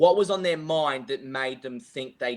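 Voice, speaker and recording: Speaking in an Australian accent, a man has a fairly high pitch. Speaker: golf coach. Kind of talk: podcast interview. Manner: loud; halting.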